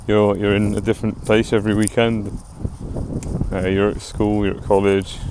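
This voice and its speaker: A man with an English accent, fairly low pitch, moderate pace and monotone, flat intonation, over noticeable background noise. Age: 20s. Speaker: vlogger. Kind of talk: casual monologue. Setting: outdoors, walking. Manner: rambling.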